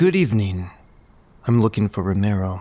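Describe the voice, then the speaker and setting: A man's put-on character voice, fairly low-pitched and fairly quick. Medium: audio drama. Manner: cold, curt.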